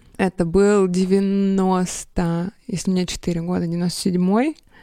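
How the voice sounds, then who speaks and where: A woman speaks at a medium pitch. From Russia, Sverdlovsk region. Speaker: graphic designer. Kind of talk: casual chat.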